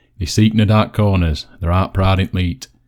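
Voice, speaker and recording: A man with a Yorkshire accent speaks in a very deep, low pitch and a dark, mellow tone. His intonation is fairly even, and the recording is very clean with a silent background. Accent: broad Yorkshire. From Yorkshire, West Riding. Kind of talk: dialect poetry reading.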